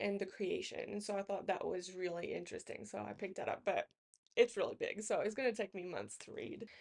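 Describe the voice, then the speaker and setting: A woman's voice at a fairly high pitch. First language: not English. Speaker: book YouTuber. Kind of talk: casual book haul talk. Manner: halting, many fillers.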